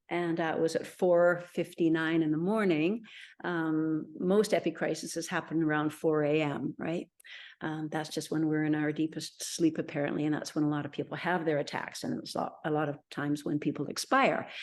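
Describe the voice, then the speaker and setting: Against a quiet background, a woman with a very deep, low pitch talks at a moderate pace with fairly even intonation. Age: 60s. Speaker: interviewee sharing health story. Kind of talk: interview testimony.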